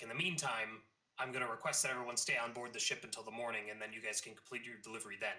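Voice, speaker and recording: A man performs a put-on character voice that is raspy. He speaks very fast at a medium pitch. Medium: actual play. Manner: calm, authoritative.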